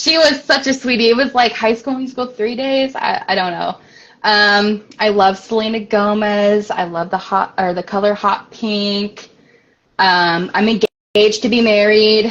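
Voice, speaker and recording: Fairly slow speech in a Midwestern American accent, with ordinary pitch variation. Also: woman, fairly high pitch for a woman. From US Midwest, Springfield, Illinois. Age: 20s. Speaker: author. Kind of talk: interview. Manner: hesitant, many fillers.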